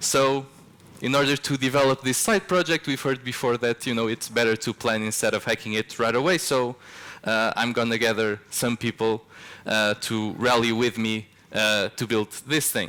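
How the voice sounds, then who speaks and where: With a Portuguese accent, a man speaks at a moderate pace and medium pitch, his bright, sharp tone held at a very even loudness and fairly even intonation. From Portugal. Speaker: software developer, conference speaker. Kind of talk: conference talk. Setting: stage with audience. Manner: casual, with frequent filler words.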